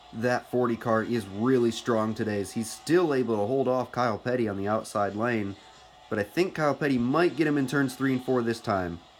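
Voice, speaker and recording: Music plays behind a man speaking at a fairly quick pace. His pitch sits in the medium range. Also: ordinary pitch variation. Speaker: stop-motion racing series creator and commentator. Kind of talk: play-by-play race commentary.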